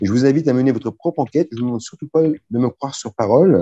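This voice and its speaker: A man speaks at a fairly quick pace in a dark, mellow tone, and the sound is dry and close with no echo. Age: 50s. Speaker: webinar moderator. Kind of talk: sales pitch. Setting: video call.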